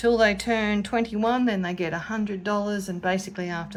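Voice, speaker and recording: This woman speaks with an Australian accent. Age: 50s. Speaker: budgeting vlogger. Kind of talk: casual chat. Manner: chatty.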